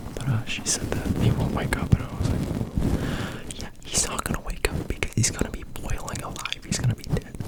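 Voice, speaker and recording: Whispering at a moderate pace with hardly any pauses, over noticeable background noise. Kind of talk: ASMR soft rambling. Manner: whispered, very quiet; soft-spoken.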